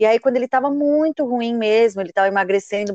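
A woman talks at a fairly quick pace in an ordinary speaking voice with ordinary pitch variation. The sound is dry and close, with no echo. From Brazil, São Paulo. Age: 30s. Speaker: author and marketing professional living with HIV. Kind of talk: podcast interview, personal testimony.

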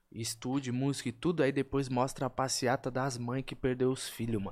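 A man with an unremarkable speaking voice talks at a moderate pace and medium pitch in a very clean recording with a silent background. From São Paulo (Vila Maria, then Diadema). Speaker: rapper. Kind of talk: casual chat.

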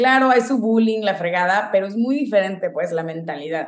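Her intonation rises and falls in a lively way. The speaker is a woman. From Mexico, Guadalajara. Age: 20s. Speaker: venture capital associate. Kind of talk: interview.

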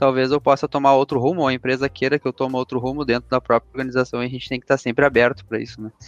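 Against a quiet background, a man at medium pitch is captured in a dry, close sound with no echo. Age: 20s. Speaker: credit products coordinator. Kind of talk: interview. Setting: podcast recording.

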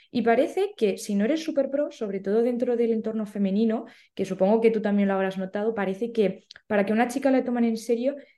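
The tone of this woman's voice is dark and mellow. She speaks fairly quickly. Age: 20s. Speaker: amateur runner and social media creator. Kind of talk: casual interview chat. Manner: animated.

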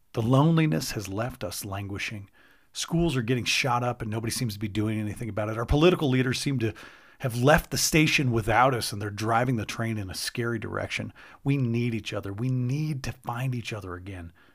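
An unremarkable speaking voice from a man at a medium pitch, with ordinary pitch variation and a fairly quick pace. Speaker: podcast host and speaker. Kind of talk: personal storytelling monologue with a heartfelt, sermon-like appeal. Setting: solo recording with direct address to listeners. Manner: earnest, warm and reflective, with self-deprecating laughs.

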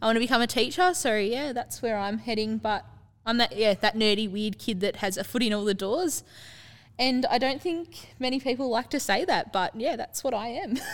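Here a woman with an Australian accent speaks in a fairly high voice. The recording is very clean, with a silent background. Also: lively intonation, moderate pace. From Terang, Victoria, Australia. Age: young. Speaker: youth council mayor. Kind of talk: interview.

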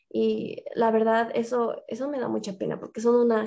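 A woman speaks with a Bolivian accent at a fairly high pitch. Her tone is dark and mellow. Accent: Bolivian Spanish (La Paz). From Bolivia, La Paz. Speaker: fitness influencer. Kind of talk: interview.

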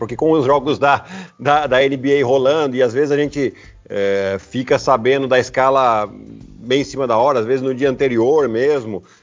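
A man with a plain, everyday voice, medium pitch, ordinary pitch variation and a moderate pace. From Brazil, Piracicaba (São Paulo state). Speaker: basketball player and sports commentator. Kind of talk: casual interview chat.

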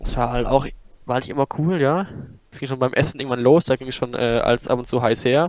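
A man with an unremarkable speaking voice at a medium pitch. He talks at a fairly quick pace with fairly even intonation. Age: 20s. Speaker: podcast guest, former classmate. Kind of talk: casual chat.

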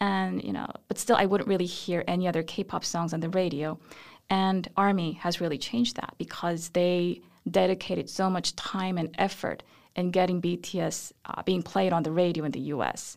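A woman with a Korean accent, fairly low in pitch, at a moderate pace with fairly even intonation, on a very clean recording with a silent background. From South Korea. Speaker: professor of Korean studies. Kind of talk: interview. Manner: hesitant fillers.

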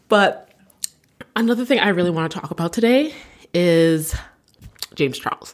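A woman with a fairly low voice talks at a moderate pace, leaving long, frequent pauses. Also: lively intonation. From Canada. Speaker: podcast host. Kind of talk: casual chat. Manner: animated.

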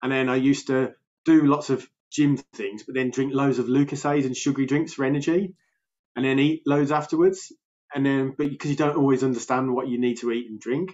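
A man with a Birmingham accent talks at a fairly quick pace in a fairly high pitch. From Birmingham, England. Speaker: health coach. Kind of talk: casual interview. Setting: remote call. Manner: energetic, animated.

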